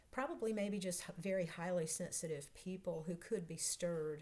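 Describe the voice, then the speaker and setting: In a Southern US accent, a woman speaks with a dark, mellow tone and a fairly low pitch. Her voice is somewhat breathy, at a moderate pace. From North Carolina. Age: 60s. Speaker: vlogger, process analyst coach. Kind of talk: casual vlog self-introduction.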